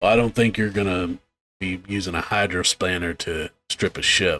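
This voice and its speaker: A man uses a put-on character voice at a fairly low pitch. He talks at a moderate pace. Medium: actual play. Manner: wry, needling.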